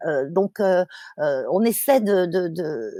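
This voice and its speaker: A woman speaks at a very slow pace, her medium pitch carried by lively intonation. The recording is very clean, with a silent background and dry, close sound with no echo. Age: 60s. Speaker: climate activist and fashion author. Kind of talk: interview. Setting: podcast. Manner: halting, many fillers and repetitions.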